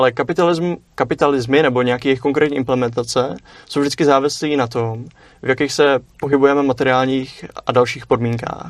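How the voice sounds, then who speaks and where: This man talks at a very fast pace, his medium-pitched voice keeping a fairly even intonation. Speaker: philosophy student. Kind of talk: casual discussion. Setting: studio. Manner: halting.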